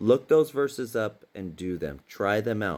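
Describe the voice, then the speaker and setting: A man speaks at a fairly slow pace, using a fairly low pitch and lively intonation. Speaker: religious teacher. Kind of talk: casual sermon. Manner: animated.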